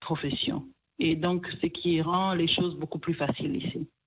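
A woman's plain, everyday voice, fairly low in pitch, with fairly even intonation and a fairly slow pace. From DR Congo, Kivu. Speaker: restaurant owner. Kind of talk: interview.

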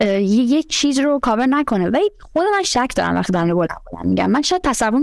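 Her pace is very fast. A woman speaks at a high pitch that swings very widely. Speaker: panel guest. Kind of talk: casual discussion.

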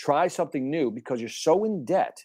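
Very clean recording with a silent background, a man at a moderate pace in an animated tone with very wide pitch swings. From Chicago, Puerto Rican family. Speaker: sales speaker and TV host. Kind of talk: interview.

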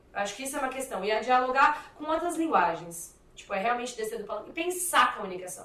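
A woman talks very fast in a raised, projected voice. Her pitch is high and her intonation lively. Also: big swings in loudness. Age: 20s. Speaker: activist and communicator. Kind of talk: interview.

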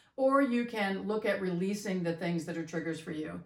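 A woman of medium pitch talks at a very fast pace over noticeable background noise. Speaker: podcast co-host, mother. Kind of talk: casual conversational podcast discussion. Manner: reserved, calmer.

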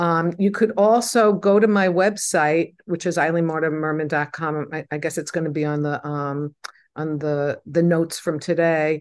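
A woman with a normal speaking voice, fairly low pitch and moderate pace. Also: ordinary pitch variation. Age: 60s. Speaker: mental health counselor and spiritual healing teacher. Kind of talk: interview conversation.

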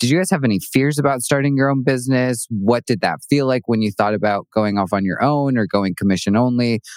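In a very clean recording with a silent background, a man with an ordinary speaking voice talks at a medium pitch and a fairly quick pace, with very even loudness, hardly any pauses, and a dry, close sound with no echo. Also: ordinary pitch variation. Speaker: podcast host. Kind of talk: interview conversation.

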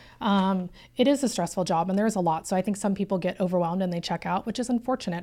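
Talking at a very fast pace, a woman with a medium pitch and a dark, mellow tone is heard on a very clean recording with a silent background. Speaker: real estate agent. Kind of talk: casual interview chat.

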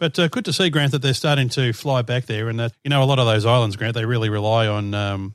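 Talking very fast in an Australian accent, a man uses a medium pitch with ordinary pitch variation. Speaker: aviation podcaster. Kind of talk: casual chat.

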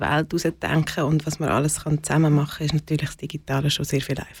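A woman's very deep, low voice comes through somewhat breathy. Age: 40s. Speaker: community co-founder. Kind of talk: interview.

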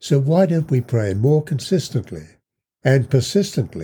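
Over a very clean recording with a silent background, a man speaks at a fairly slow pace and medium pitch, somewhat breathy, in a dark, mellow, solemn tone with very wide pitch swings. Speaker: podcast host and Bible teacher. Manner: earnest, measured and sincere; at the prayer, solemn, heartfelt and slow.

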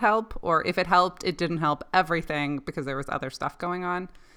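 A woman speaks very fast in a fairly low, bright and sharp voice with ordinary pitch variation, recorded very cleanly against a silent background. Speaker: podcast host. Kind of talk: interview.

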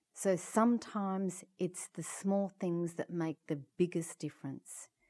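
A woman with an Australian accent, a fairly low pitch and a dark, mellow tone, at a very slow pace with ordinary pitch variation, on a very clean recording with a silent background. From Perth, Western Australia. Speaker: head of an international aging organisation. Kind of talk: interview.

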